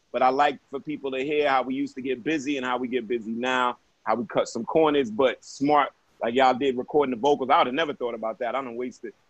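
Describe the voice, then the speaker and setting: This man has a New York accent. He talks very fast. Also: medium pitch for a man, fairly even intonation. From Brooklyn, New York. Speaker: podcast host. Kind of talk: casual chat.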